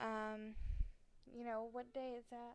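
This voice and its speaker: A woman speaks loud and at a fairly slow pace. Her pitch is high. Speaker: vlogger. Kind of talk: casual chat. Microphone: sitting far back from the microphone.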